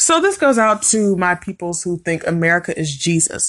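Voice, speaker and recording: Against a quiet background, a woman with a medium-pitched voice speaks in an animated tone with lively intonation. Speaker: YouTuber. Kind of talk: opinion rant monologue.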